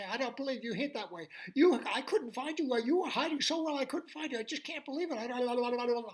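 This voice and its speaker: A man puts on a character voice pitched extremely high, with lively intonation. He barely pauses at all. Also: moderate pace. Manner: very fast.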